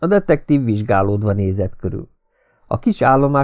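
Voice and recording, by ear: The background stays quiet. The text is read aloud in a natural voice, with lively intonation.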